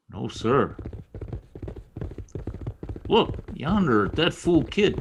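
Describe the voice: Putting on a character voice, a man talks at a very slow pace and medium pitch, his pitch swinging widely.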